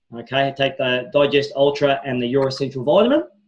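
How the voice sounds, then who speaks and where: Somewhat breathy and fairly high, a man's voice comes through. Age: 40s. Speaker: wellness product presenter. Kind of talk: sales pitch. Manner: fast; animated.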